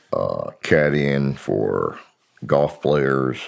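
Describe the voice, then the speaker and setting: With an American accent, this man talks in a voice pitched very deep and low. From US South, Miami, Florida. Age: 70s. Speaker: former army intelligence officer and psychic researcher. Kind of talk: interview. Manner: hesitant, with many fillers.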